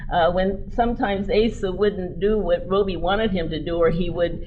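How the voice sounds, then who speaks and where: A woman with an American accent speaks at a medium pitch. Noticeable background noise and audible room echo come through. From US West, Denver, Colorado. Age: 70s. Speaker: keynote speaker, former mayor. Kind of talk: keynote speech. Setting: convention stage with audience.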